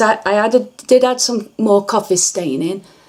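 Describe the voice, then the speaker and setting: Speaking at a fairly slow pace, a woman with an English accent uses lively intonation and a fairly high pitch. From England. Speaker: crafter. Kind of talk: tutorial. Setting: bedroom. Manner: halting.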